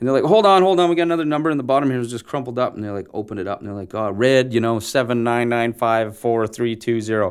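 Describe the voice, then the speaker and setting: Speaking very fast with lively intonation, a man is heard on a very clean recording with a silent background. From Ontario, Canada. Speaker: actor. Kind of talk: casual interview.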